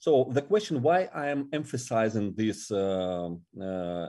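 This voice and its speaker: A man with a Russian accent talks fairly slowly in a dark, mellow tone. The recording is very clean, with a silent background. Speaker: ministry regional director. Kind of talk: interview. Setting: podcast interview. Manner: halting.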